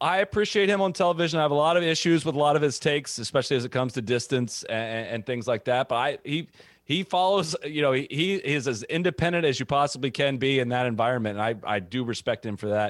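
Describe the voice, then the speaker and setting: Talking at a very fast pace, a man with a fairly high voice uses lively intonation. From US Midwest (Ohio). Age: 30s. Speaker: golf media founder. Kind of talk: interview.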